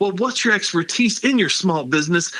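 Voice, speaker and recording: Noticeable background noise sits under a man's high-pitched voice. He talks very fast with very wide pitch swings. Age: 50s. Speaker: political candidate. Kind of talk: interview. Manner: animated.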